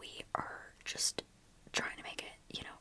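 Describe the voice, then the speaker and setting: Noticeable noise sits in the background. Over it, a woman whispers. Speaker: ASMR creator. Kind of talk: ASMR whispered ramble. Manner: whispered, soft.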